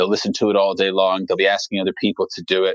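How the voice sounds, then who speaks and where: The man talks at a very fast pace, with a dry, close sound and no echo. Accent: American. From England, with childhood moves to Australia and Arizona. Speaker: music producer. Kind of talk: casual chat.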